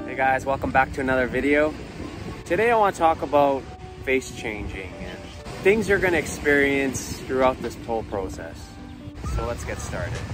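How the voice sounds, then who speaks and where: Clear music plays in the background as a man speaks with long, frequent pauses in a dry sound with no echo. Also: moderate pace. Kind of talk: casual vlog chat. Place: beach. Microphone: phone near.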